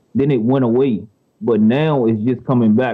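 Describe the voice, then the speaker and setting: A man is speaking. He has an American accent. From Washington DC and Prince George's County, Maryland. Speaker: rapper. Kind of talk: interview.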